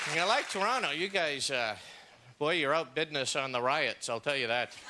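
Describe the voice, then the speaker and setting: With an American accent, a man speaks at a fairly high pitch with lively intonation and very even loudness over noticeable background noise. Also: moderate pace. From Los Angeles, California. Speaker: stand-up comedian. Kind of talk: stand-up comedy set.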